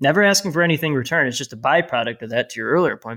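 A man with an American accent and a fairly high pitch speaks with ordinary pitch variation in a very clean recording with a silent background. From Chicago area, US Midwest. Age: 40s. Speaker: PR firm CEO and author. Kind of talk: casual interview.

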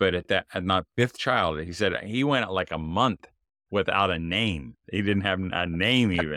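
In a very clean recording with a silent background and a dry, close sound with no echo, a man with a very deep, low pitch and a bright, sharp tone talks at a fairly slow pace with ordinary pitch variation. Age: 50s. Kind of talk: casual interview.

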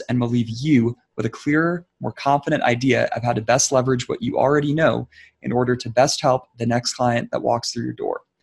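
A man's medium-pitched, somewhat breathy voice, fairly quick with hardly any pauses, ordinary pitch variation, dry and close with no echo. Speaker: podcast co-host, physical therapist. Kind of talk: casual podcast chat, season wrap-up. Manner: animated, joking.

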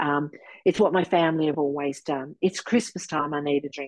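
A woman with an Australian accent, very deep and low in pitch, at a very fast pace with ordinary pitch variation, dry and close with no echo over a quiet background. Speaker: sobriety coach. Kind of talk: interview testimony. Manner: animated.

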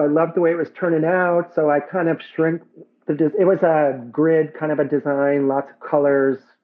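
This man's voice sits at a fairly high pitch. He talks at a moderate pace with ordinary pitch variation. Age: 50s. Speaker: muralist. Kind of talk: casual chat. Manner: animated.

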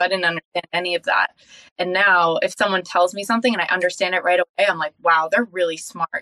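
In a Californian accent, a woman of medium pitch speaks very fast with fairly even intonation and a bright, sharp tone, in a dry, close sound with no echo. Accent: Californian American. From Southern California (Encinitas). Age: young. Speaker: sales leader and life coach. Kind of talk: interview.

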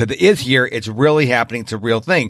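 A man speaks in an unremarkable speaking voice with an American accent. His pitch is medium and his intonation is lively. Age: 50s. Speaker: podcast host. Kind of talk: interview podcast. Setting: remote interview.

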